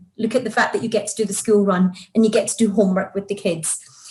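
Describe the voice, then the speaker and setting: A woman's voice comes across somewhat breathy. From Scotland, Glasgow. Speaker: career coach. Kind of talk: interview.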